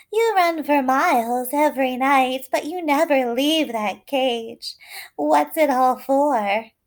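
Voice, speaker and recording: The speaker uses a put-on character voice. The delivery moves at a fairly slow pace. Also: female-sounding voice, high pitch for a woman. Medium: read story. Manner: sly, condescending.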